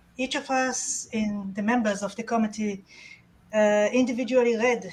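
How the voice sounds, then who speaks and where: A woman with an Israeli accent talks at a moderate pace with fairly even intonation. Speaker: awards committee chair. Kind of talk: award announcement. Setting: virtual conference.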